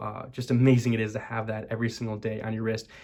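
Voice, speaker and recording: A quiet man at medium pitch, very fast pace, and monotone, flat intonation. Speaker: watch reviewer. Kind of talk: product review talk to camera. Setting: college dorm room. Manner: monotone, quiet; hushed, not loud.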